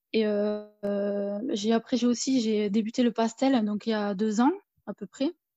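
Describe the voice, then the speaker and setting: Over music in the background, a woman speaks at a fairly slow pace and fairly high pitch with fairly even intonation, in a dry, close sound with no echo. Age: 30s. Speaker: self-taught painter and nursing assistant. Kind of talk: casual interview.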